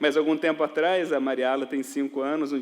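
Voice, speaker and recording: A man speaks with a Minas Gerais accent over noticeable background noise. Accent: Minas Gerais Brazilian Portuguese, dragged R. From Minas Gerais, Brazil.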